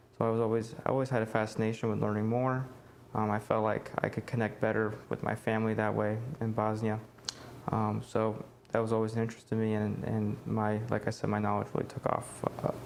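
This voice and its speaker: The speaker has an American accent and moves at a fairly quick pace. Intonation stays monotone and flat, with very even loudness. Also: man, fairly low pitch for a man. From United States. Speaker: college student. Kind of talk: oral history interview answer.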